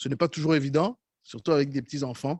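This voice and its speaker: Fairly high-pitched male voice with a Rwandan accent, very clean recording with a silent background, dry and close with no echo. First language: Kinyarwanda (speaking French). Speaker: preacher. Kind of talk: sermon.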